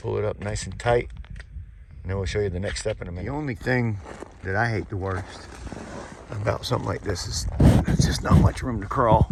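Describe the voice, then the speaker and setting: A man at a fairly quick pace with long, frequent pauses, amid noticeable background noise. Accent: American. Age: 60s. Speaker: home repair contractor. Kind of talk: on-the-job tutorial. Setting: crawlspace under a mobile home. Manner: casual, conversational.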